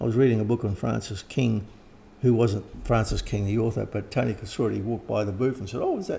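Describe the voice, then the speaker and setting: Dark and mellow in tone, this man's medium-pitched voice carries vocal fry, ordinary pitch variation, and a fairly quick pace. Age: 70s. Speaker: occult author and teacher. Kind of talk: interview. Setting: at home.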